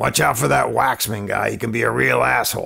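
A raspy, gruff put-on character voice from a man, fairly quick in pace and very even in loudness. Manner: warning, blunt.

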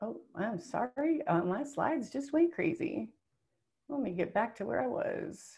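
A woman speaks in a high, dark and mellow voice with very wide pitch swings. Her pace is fairly slow against a quiet background. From US small town. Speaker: webinar presenter. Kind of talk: webinar presentation. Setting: webinar. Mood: friendly, upbeat. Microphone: webcam.

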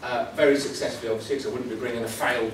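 There is audible room echo and noticeable background noise. A man is speaking. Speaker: conference presenter. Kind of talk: talk to a conference audience. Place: hall. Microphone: camera far.

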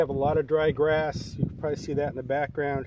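A man speaks fairly quickly in a dry sound with no echo while noticeable background noise runs behind him. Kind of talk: tutorial. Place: open country. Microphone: camera far.

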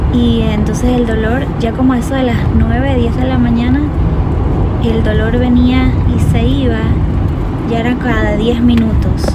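Loud background noise surrounds a woman whose pace is fairly slow. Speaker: vlogger. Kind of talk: casual vlog chat. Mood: relaxed storytelling. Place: car. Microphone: phone near.

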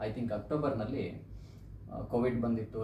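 A man's medium-pitched voice with fairly even intonation, plus noticeable background noise and audible room echo. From India, Karnataka, Uttara Kannada (Siddapur taluk), rural. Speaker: educator with a doctorate. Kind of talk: personal testimony.

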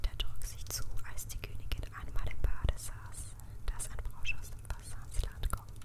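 A woman's whisper crawls along very slowly while clear background noise carries on around her. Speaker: ASMR creator. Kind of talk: ASMR fairy tale reading for sleep. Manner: soft-spoken, gentle.

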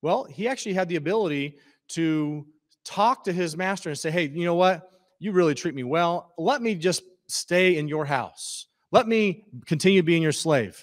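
Against a quiet background, the speaker talks at a moderate pace in an American accent, with ordinary pitch variation. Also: man, high pitch for a man. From Missouri. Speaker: pastor. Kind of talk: sermon. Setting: church. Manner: halting. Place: church. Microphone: handheld.

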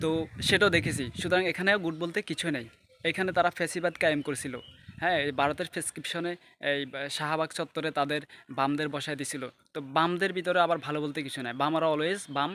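A man speaks at a fairly high pitch with a bright, sharp tone. His intonation stays fairly even. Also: very clean recording, silent background. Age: 20s. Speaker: political commentator. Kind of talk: political monologue.

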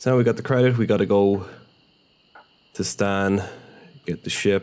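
A man with a very deep, low pitch, ordinary pitch variation, and a moderate pace. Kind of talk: casual gameplay commentary. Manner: casual, rambling, self-interrupting; swears freely, mildly frustrated.

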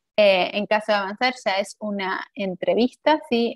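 A woman speaks over a quiet background. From Argentina. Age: 30s. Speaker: HR manager. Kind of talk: webinar presentation. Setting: video call. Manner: hesitant, many fillers and repetitions. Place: home room. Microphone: webcam.

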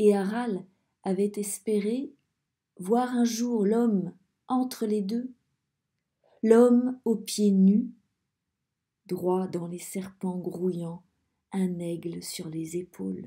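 A woman speaks at a very slow pace and medium pitch, somewhat breathy, with a dark, mellow tone. Her pitch variation is ordinary, and long, frequent pauses break up her speech. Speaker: audiobook reader. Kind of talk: dramatic narration. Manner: slow, hushed, suspenseful storytelling.

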